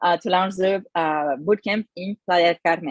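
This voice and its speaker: Dry and close with no echo, the recording has a woman with a French accent speaking at a moderate pace with fairly even intonation. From France. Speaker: bootcamp manager. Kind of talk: online info session presentation. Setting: livestream on Zoom and YouTube. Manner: hesitant, many fillers.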